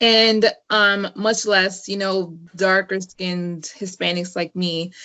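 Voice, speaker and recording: Speaking at a very slow pace, a woman with an American accent uses a medium pitch. Her intonation is monotone and flat. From Northern Virginia, US (DC area). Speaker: guest, YouTuber. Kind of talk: casual interview chat. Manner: many fillers (um, you know, like).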